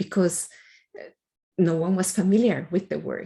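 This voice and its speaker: A woman's dark, mellow tone with vocal fry. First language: not English. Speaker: computer science researcher. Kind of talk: interview answer.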